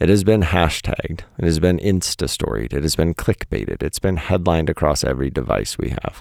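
With vocal fry and a very deep, low pitch, a man speaks at a moderate pace with lively intonation in a dry, close sound with no echo. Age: 40s. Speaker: podcast host and poet. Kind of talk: reading own essay aloud. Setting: home recording under the stairs. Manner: casual, laughing.

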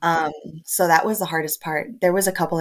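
A woman's fairly low voice with an American accent and ordinary pitch variation. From Texas, El Paso. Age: 20s. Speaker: surrogate and stay-at-home mom. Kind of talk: casual interview. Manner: hesitant, many fillers.

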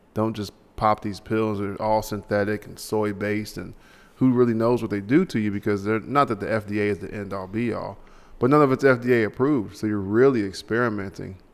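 Using a normal speaking voice, a man talks at a fairly quick pace in a fairly low pitch, with fairly even intonation and big swings in loudness, on a very clean recording with a silent background. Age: 30s. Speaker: podcast host. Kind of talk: casual chat.

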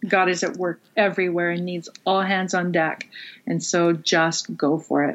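At a moderate pace, a woman with a fairly low pitch talks in a normal speaking voice. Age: 40s. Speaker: pastor. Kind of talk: interview. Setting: video call.

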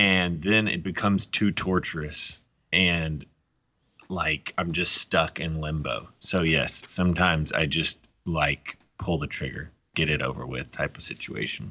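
Slowly and with vocal fry, a man speaks in a very deep, low pitch that shows ordinary variation. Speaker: podcast co-host. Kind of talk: casual chat. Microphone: connection cut out.

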